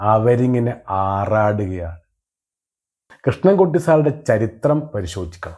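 This man's voice is fairly low, with a dark, mellow tone. His pitch swings very widely. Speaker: political satire commentator. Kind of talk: satirical monologue.

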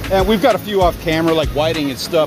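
A man's very fast, lively-intoned speech, dry with no echo, over noticeable background noise. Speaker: fishing vlogger. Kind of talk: casual vlog tutorial. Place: beach. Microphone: phone near.

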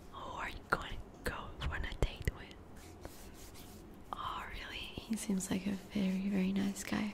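Light noise sits in the background as a woman talks. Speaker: ASMR creator playing a friend. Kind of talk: ASMR roleplay.

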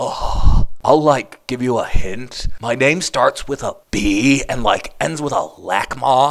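In a cartoonish character voice, a man drawls at a medium pitch. His pace is fairly slow, with hardly any pauses. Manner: airheaded, drawling filler words.

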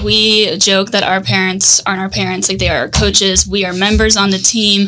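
A woman's medium-pitched voice with an American accent, bright and sharp in tone, at a moderate pace over a quiet background. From US South, Tampa, Florida. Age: 20s. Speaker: marketing agency co-founder; podcast guest. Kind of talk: casual interview. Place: studio. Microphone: studio mic.

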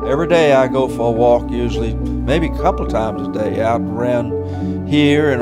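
A man with an American accent speaks at a fairly slow pace. Loud music plays in the background. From Virginia. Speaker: retired minister. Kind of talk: interview answer. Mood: content, relaxed. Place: home room.

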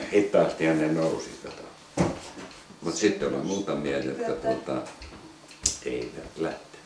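Noticeable background noise and audible room echo surround a man who talks fairly slowly. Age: 70s. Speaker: war veteran. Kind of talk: casual chat; reminiscing storytelling. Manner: halting. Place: home room.

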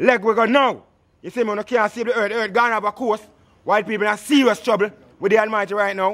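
A man with a Jamaican accent, high-pitched and talking at a very fast pace. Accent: Jamaican Patois. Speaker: Rastafarian speaker; speaker. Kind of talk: impassioned speech. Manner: animated, laughing often. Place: street. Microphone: phone near.

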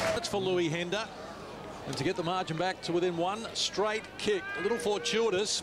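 High in pitch, a man speaks at a moderate pace. Noticeable background noise runs underneath. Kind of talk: live sports commentary. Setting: stadium broadcast, outdoors in rain. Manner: excitable, punchy delivery.

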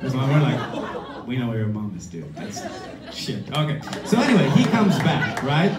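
Speech moves at a moderate pace while loud background noise carries on behind it. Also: man. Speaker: storyteller; musician. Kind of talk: live storytelling, comedic personal anecdote. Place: stage. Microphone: camera far.

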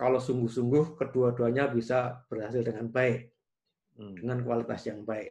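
Against a quiet background, a man speaks. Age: 60s. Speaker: engineering professor. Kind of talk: interview. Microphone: video call.

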